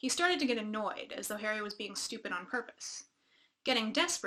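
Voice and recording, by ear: The background is quiet while the text is read aloud in a natural voice.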